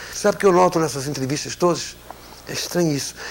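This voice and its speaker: Over noticeable background noise, the speech comes at a very fast pace. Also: man. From Brazil. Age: 60s. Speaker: broadcaster. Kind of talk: interview.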